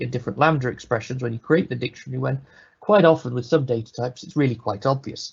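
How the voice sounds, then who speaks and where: A man with a British accent speaks at a very fast pace in a medium-pitched voice. His voice is somewhat breathy, with ordinary pitch variation. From Britain. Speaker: software developer, conference speaker. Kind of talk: technical presentation. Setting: live online webinar. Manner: casual, conversational.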